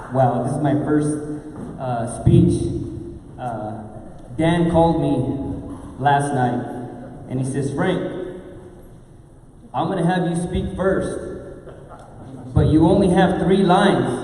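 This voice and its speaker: Amid noticeable background noise and audible room echo, a man with a fairly high voice speaks at a very slow pace with long, frequent pauses and ordinary pitch variation. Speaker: school principal. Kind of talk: ceremonial speech. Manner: formal.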